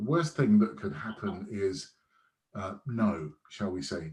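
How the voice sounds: A man talks at a fairly slow pace with big pitch swings. His tone is slightly mellow.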